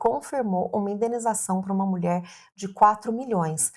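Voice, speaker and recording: Recorded very cleanly with a silent background, a woman speaks at a moderate pace with ordinary pitch variation. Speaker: family lawyer. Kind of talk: legal explainer video. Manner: clear and simple.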